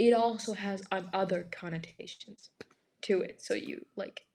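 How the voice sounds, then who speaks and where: The voice belongs to a woman. Its pitch moves in a typical way. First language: Greek. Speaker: stranger in online video chat. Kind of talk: casual chat. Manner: halting, many fillers.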